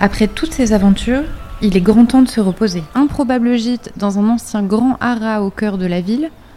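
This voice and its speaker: With music in the background, a woman talks at a fairly high pitch. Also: ordinary pitch variation, moderate pace. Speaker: podcast host, narrator. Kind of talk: scripted narration.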